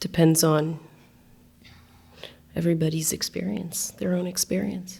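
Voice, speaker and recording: Speaking with an American accent, a woman uses a fairly low pitch, a dark, mellow tone, vocal fry and ordinary pitch variation at a moderate pace. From Australia until age ten, then US. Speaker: photographer, exhibiting artist. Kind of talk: panel discussion Q&A. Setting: gallery talk with live and Zoom audience.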